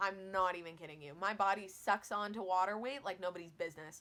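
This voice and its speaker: Loud and animated, a woman at medium pitch speaks with a bright, sharp tone on a very clean recording with a silent background. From Newfoundland, Canada. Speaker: weight loss vlogger. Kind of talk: casual vlog talk to camera.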